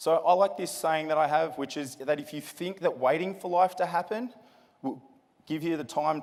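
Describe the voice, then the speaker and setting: This man has an Australian accent and a fairly high pitch. He speaks at a moderate pace in an energetic tone. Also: ordinary pitch variation. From Australia, Sydney. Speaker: motivational speaker. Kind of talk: keynote speech. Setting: stage with large audience. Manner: energetic, addresses crowd with questions.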